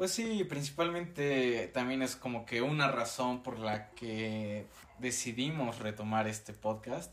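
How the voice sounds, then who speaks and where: A man speaks at a very slow pace in a medium pitch, with noticeable background noise behind him. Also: ordinary pitch variation. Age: 19, turning 20. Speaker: university student podcast co-host. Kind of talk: casual chat.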